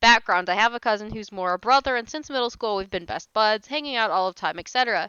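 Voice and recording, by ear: Read out loud in a natural voice, the passage shows ordinary pitch variation.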